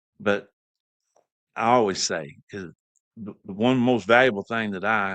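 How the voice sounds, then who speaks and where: Against a quiet background, a man in a Southern US accent speaks at a moderate pace. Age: 60s. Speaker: podcast host. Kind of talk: casual chat.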